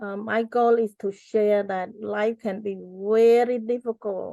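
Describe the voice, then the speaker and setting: A woman with a Cambodian accent talks very slowly at a fairly high pitch, in a dark, mellow tone with monotone, flat intonation. The sound is dry and close with no echo, and the background is quiet. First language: Cambodian (Khmer). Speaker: genocide survivor and author. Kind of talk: interview.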